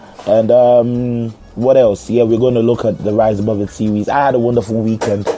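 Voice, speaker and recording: Against noticeable background noise, a man speaks at a fairly low pitch with fairly even intonation. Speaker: podcast host. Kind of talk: podcast monologue. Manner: casual, halting with fillers.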